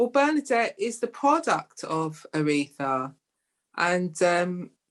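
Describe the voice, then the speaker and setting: A woman in a London accent, at a very slow pace. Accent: London, local English. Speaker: playwright. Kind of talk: interview.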